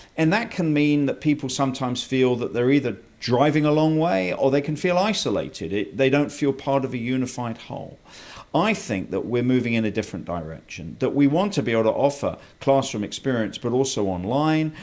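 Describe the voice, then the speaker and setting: A man with a British accent talks at a fairly quick pace with medium pitch and lively intonation, on a very clean recording with a silent background. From England. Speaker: college president. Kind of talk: interview.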